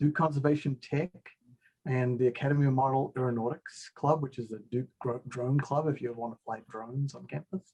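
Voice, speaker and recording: A man with a New Zealand accent speaks at a fairly quick pace and medium pitch, his somewhat breathy voice dark and mellow in tone, with fairly even intonation. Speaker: engineering professor. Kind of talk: video-call self-introduction. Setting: online video call.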